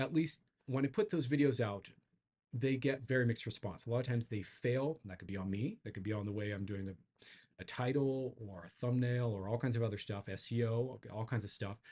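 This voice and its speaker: Fairly quick pace, ordinary pitch variation, and a dark, mellow, somewhat breathy tone. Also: man, medium pitch for a man. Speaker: psychedelic integration coach and YouTuber. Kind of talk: casual channel update monologue. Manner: fast; halting, with filler words and repetitions.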